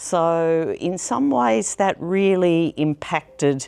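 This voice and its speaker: A woman speaks with an Australian accent. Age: 70s. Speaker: long-time film society member. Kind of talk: personal reminiscence interview. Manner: reflective, with frequent hesitations.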